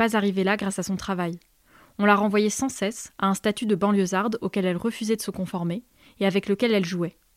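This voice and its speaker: A very fast pace with fairly even intonation, in a dry, close sound with no echo, on a very clean recording with a silent background. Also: woman. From rural France. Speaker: podcast host. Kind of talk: scripted narration.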